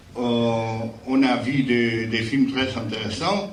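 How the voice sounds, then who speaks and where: Over noticeable background noise and audible room echo, a man speaks very slowly at a medium pitch. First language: Spanish (speaking French). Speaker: jury president at film festival. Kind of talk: award ceremony speech. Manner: halting, many repetitions.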